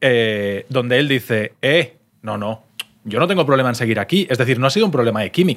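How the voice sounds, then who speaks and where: With lively intonation, a man at a medium pitch speaks in a normal speaking voice. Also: fairly quick pace. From Valencia region, Spain. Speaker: sports podcast co-host. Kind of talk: casual chat. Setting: restaurant in Madrid.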